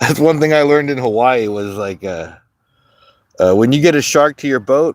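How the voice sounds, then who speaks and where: Using an ordinary speaking voice, a man speaks at a moderate pace and a medium pitch. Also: lively intonation. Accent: American. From Southern California. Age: 40s. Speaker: fishing livestreamer. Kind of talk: casual chat. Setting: outdoors.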